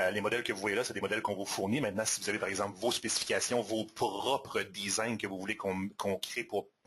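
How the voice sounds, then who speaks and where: A man is speaking. He talks at a very fast pace. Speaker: software presenter. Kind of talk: product demo webinar. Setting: live webinar.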